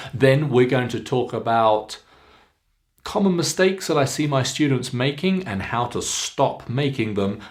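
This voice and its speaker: Speaking with a British RP accent, a man keeps a medium pitch. His fairly slow delivery carries lively intonation. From England. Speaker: accent coach. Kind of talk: pronunciation lesson to camera. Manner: clear, slow, instructive.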